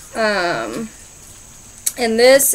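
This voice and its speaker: Fairly even intonation from a woman. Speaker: candy reviewer. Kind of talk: casual vlog chat. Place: garden. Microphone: phone near.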